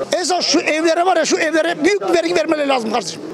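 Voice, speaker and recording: Against crowd noise in the background, a man talks at a very fast pace in an extremely high voice, with an animated tone, ordinary pitch variation and a dry sound with no echo. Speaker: passerby in street interview; interviewee. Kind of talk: heated debate. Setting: outdoors. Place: street. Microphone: handheld.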